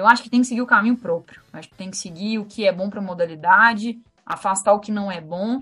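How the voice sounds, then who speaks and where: Speaking at a very fast pace, a woman with a fairly high pitch and a somewhat breathy voice uses ordinary pitch variation. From Minas Gerais, Brazil. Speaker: lawyer and women's football coordinator. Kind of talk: podcast interview.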